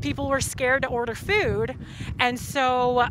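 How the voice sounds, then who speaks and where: In a dry sound with no echo and light background noise, a woman speaks in a raised, projected voice. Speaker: protester. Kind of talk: impromptu opinion statement; interview answer. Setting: outdoors at a protest. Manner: impassioned, fluent. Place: street. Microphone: lapel.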